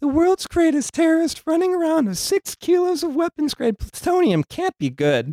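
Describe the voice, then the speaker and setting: A female-sounding voice performs a put-on character at an extremely high pitch. There are hardly any pauses. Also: moderate pace. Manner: put-on imitation.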